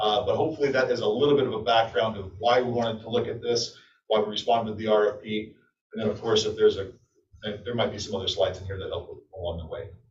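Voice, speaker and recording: Audible room echo surrounds a man talking very fast. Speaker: energy services contractor presenter. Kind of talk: business presentation to city council. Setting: city council meeting.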